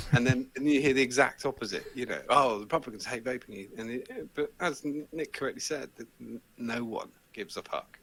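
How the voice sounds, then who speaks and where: A man with an English accent, medium-pitched, with ordinary pitch variation, big swings in loudness, a fairly quick pace and hardly any pauses. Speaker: vaping show host, interview guest. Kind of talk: casual chat. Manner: animated.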